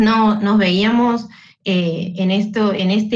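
A woman of medium pitch sounds somewhat breathy, with ordinary pitch variation. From Santiago del Estero, Argentina. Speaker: social worker. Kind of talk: live online panel discussion. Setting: video call.

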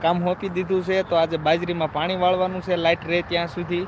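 Noticeable background noise accompanies a man whose voice is high-pitched. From Gujarat, Saurashtra (near Chotila). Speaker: village vlogger and farmer. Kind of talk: live stream chat. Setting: outdoors in a farm field.

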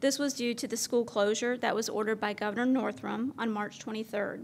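A woman's fairly quick, fairly high-pitched voice with fairly even intonation over light background noise. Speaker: school district chief academic officer. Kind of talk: formal presentation at board meeting. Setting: public meeting hall. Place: hall. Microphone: podium.

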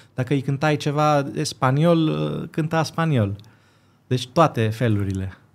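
The man talks at a fairly slow pace. His pitch is fairly high, with ordinary variation. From Greece, Athens, Romanian parents; Greece. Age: 20s. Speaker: violinist and composer; guest. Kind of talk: casual interview. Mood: calm, reflective. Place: studio. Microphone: studio mic.

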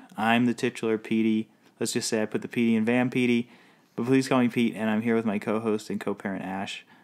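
A man puts on a robotic character voice at a medium pitch, talking at a very fast pace with monotone, flat intonation. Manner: robotic, flat.

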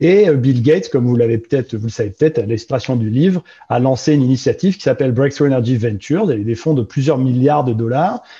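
Speaking at a very fast pace with hardly any pauses, a man uses a medium pitch and ordinary pitch variation. His tone is dark, mellow and somewhat breathy, against a quiet background. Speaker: investment director, engineer; panelist. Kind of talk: panel talk. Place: home room. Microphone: video call.

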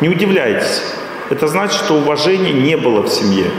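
Strong room echo and noticeable background noise around a man speaking at a moderate pace. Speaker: lecturer. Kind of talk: lecture. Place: hall. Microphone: podium.

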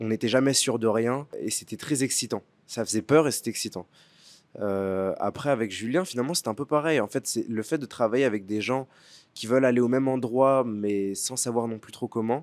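His pitch shows ordinary variation. The man keeps to a moderate pace. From France, Paris suburbs; France. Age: 20s. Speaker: actor; actor interviewed about his film. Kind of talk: interview. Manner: halting, many fillers and repetitions. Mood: thoughtful, warm, sometimes smiling. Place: garden. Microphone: handheld.

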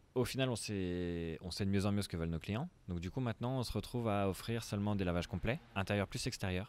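Hardly pausing, a man talks at a fairly quick pace with a fairly low pitch and ordinary pitch variation in a dry sound with no echo. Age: 20s. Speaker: startup founder. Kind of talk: interview. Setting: coworking space. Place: garden. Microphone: handheld.

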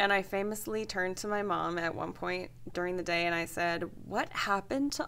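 A woman with an American accent, speaking at a moderate pace with ordinary pitch variation. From Pacific Northwest, US (Longview, Washington). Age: 30s. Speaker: novelist. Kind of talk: interview. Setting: radio studio. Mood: animated, storytelling. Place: studio.

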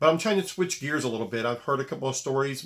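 Little can be heard behind a man as he speaks. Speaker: basketball coach. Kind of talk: video monologue. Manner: serious, direct tone; repetitive, halting. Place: home room. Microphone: phone near.

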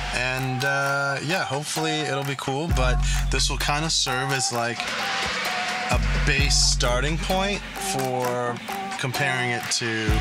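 Over loud background music, a man speaks at a very slow pace with long, frequent pauses. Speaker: car vlogger. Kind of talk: casual vlog chat. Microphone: phone near.

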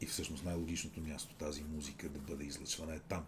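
This voice is somewhat breathy. Its tone is dark and mellow. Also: man. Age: 50s. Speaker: radio host. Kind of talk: casual chat.

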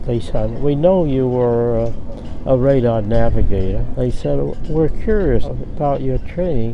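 A man with an American accent speaks at a fairly slow pace, his voice dry with no echo over noticeable background noise. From United States. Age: 80s+. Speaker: war veteran. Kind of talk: interview answer. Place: waterside.

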